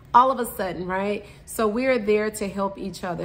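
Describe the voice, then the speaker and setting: Audible room echo surrounds a woman's voice. She speaks at medium pitch in an animated tone. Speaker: podcast host. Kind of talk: casual monologue.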